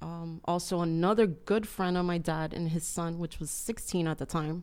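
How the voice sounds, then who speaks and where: On a very clean recording with a silent background, a woman with a Spanish accent speaks at a moderate pace in a fairly low pitch with monotone, flat intonation. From Cuba. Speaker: churchgoer, business owner. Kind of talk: testimony.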